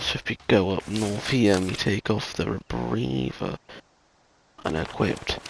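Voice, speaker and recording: Speaking softly with a British accent, a man talks at a fairly slow pace in a fairly low pitch. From Britain. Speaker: gaming YouTuber. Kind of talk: gameplay commentary. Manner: soft-spoken. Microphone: voice recorded too quiet.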